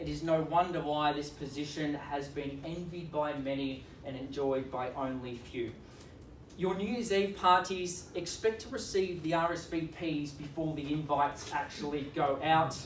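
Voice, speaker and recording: A man with an Australian accent, fairly high pitch, ordinary pitch variation and a moderate pace. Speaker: auctioneer. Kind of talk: real estate auction opening speech. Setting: live auction competition.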